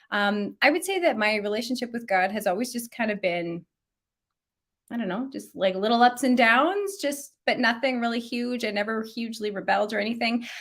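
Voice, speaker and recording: A normal speaking voice: a woman with a Canadian accent, fairly high-pitched, lively in intonation, at a fairly quick pace. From Canada, Alberta. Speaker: children's ministry author and speaker. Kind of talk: podcast interview.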